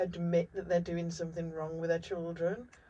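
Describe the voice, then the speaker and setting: A woman's dark, mellow, somewhat breathy voice at a fairly quick pace. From Wales. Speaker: show host. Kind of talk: interview chat.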